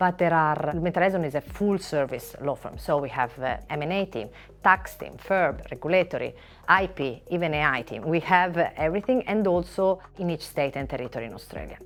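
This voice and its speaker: With music playing in the background, a woman with an Italian accent speaks at a fairly quick pace in a very deep, low voice with lively intonation. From Italy. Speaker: finance lawyer. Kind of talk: interview. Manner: hesitant with filler words.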